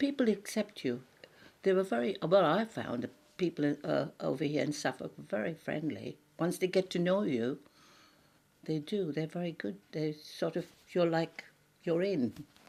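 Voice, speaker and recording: With a dark, mellow tone and vocal fry, a woman speaks at a fairly low pitch and a moderate pace, using lively intonation and long, frequent pauses. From India, Anglo-Indian. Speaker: immigrant interviewee. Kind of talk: interview, personal recollection.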